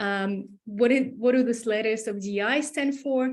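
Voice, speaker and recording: A woman speaks in a somewhat breathy voice at a fairly high pitch. Her pitch variation is ordinary. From New Zealand. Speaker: diversity and inclusion trainer. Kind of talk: online workshop presentation.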